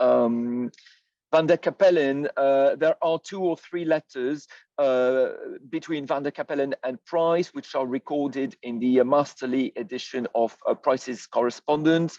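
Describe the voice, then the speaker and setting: A man with a French accent speaks at a fairly slow pace in a fairly high pitch, his dark, mellow tone carrying ordinary pitch variation in a dry, close sound with no echo against a quiet background. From France. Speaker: historian. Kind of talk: lecture. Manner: halting, many fillers.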